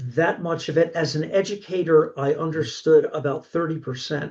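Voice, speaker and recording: The voice carries a Philadelphia accent and a dark, mellow tone. It is somewhat breathy, with fairly even intonation. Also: man. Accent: Philadelphia-area American. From Pennsylvania, Delaware County. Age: 60s. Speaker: horror author and college instructor. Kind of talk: casual interview chat.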